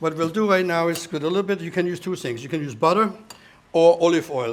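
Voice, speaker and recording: Noticeable background noise accompanies a very fast speaker in a German accent with ordinary pitch variation. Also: man. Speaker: chef. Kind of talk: cooking demonstration.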